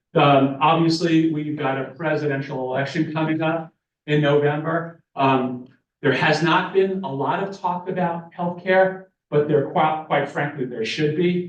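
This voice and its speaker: Fairly high in pitch, a man speaks at a moderate pace with fairly even intonation. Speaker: professor. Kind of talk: conference presentation. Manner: halting.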